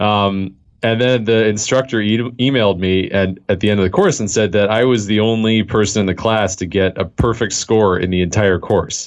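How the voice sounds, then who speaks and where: Hardly pausing, a man with a Californian accent speaks at a moderate pace and a fairly low pitch, with very even loudness and fairly even intonation. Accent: General American (Californian). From US West Coast, Los Angeles. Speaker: software developer. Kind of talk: interview.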